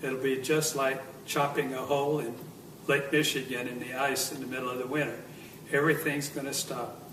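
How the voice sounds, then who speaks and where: Noticeable background noise and audible room echo surround this man's voice. His pitch is fairly high, and his intonation stays monotone and flat. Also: fairly quick pace. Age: 70s. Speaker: near-death experiencer. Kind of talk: testimony. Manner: halting, with many fillers.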